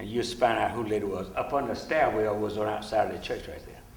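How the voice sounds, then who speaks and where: There's clear echo from the room around this man's voice. Background noise can be heard distinctly too. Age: 70s. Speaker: civil rights veteran. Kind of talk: testimony.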